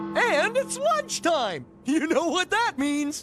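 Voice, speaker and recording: A cartoonish character voice speaks at a very slow pace. Clear music plays in the background. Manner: exuberant, goofy.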